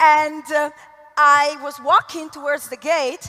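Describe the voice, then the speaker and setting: A woman's raised, projected voice in an Italian accent, high-pitched and animated, at a fairly slow pace amid noticeable background noise. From Italy. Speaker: network marketing leader. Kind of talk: motivational talk. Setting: stage with audience.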